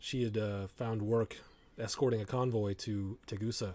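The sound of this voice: Fairly even intonation runs through an unforced reading voice here.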